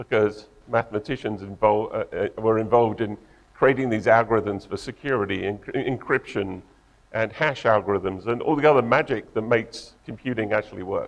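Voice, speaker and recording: A man with an English accent talks at a fairly quick pace with fairly even intonation. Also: medium pitch for a man. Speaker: tech company co-founder and engineer. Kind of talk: conference talk.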